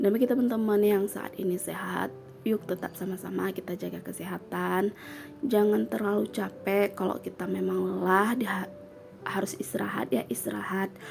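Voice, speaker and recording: The woman talks at a moderate speed with music playing behind her. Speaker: vlogger and housewife. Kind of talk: casual vlog talk to viewers. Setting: home, children nearby. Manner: casual, with many fillers.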